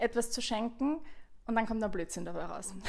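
Here is a woman with an unremarkable speaking voice. She talks at a fairly quick pace and a fairly high pitch. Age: 30s. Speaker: podcast host. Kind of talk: casual chat.

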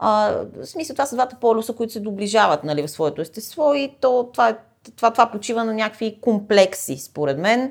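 With very wide pitch swings, a woman speaks fairly quickly at a fairly high pitch. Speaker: poet and podcast co-host. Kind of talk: casual chat.

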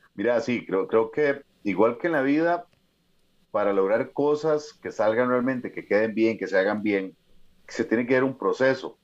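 The speech moves at a fairly slow pace and shows ordinary pitch variation. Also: man, medium pitch for a man. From Costa Rica, Escazú. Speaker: mountaineer and motivational speaker. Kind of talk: interview conversation.

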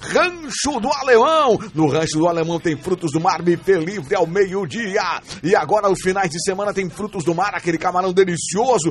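Noticeable background noise sits behind a man with a high pitch. He talks at a moderate pace with lively intonation. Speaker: radio host and pastor. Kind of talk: casual radio show chat; read-out ads. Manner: animated.

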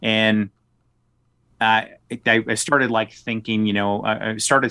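This man speaks with an American accent. His pitch is fairly low and his intonation monotone and flat. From US South (South Arkansas). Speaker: political candidate. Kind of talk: podcast interview.

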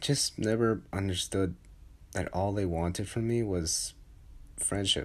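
Somewhat breathy and fairly low in pitch, a man speaks at a fairly slow pace with long, frequent pauses and ordinary pitch variation, in a very clean recording with a silent background. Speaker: solo personal podcaster. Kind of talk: personal confessional monologue. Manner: halting, many pauses and repetitions.

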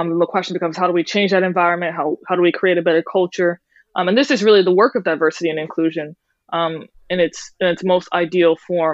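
A woman's very fast American-accented delivery, fairly low in pitch, with fairly even intonation. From US South, New Orleans. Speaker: writer and activist. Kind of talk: interview. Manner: hesitant, many fillers.

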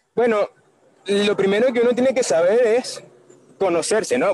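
A man speaks with a Venezuelan accent at a fairly quick pace. The sound is dry and close, with no echo. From Caracas, Venezuela. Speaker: marketer and musical theatre actor. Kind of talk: casual interview chat. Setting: outdoors on the street, remote call.

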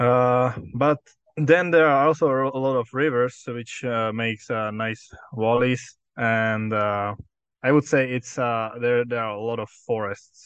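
A man's medium-pitched voice with a Czech accent, at a very slow pace with fairly even intonation. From Czech Republic. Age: 20s. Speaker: exchange student. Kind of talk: interview. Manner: hesitant, frequent fillers.

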